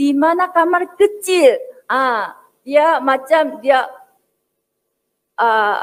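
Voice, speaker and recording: A woman with a Korean accent speaks very slowly in a high voice, her pitch swinging very widely between long, frequent pauses. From South Korea. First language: Korean (speaking Indonesian). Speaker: academic speaker. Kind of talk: speech. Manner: hesitant, frequent fillers.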